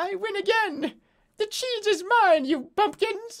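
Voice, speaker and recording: A put-on, squeaky character voice at an extremely high pitch and a fairly slow pace. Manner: gloating, triumphant.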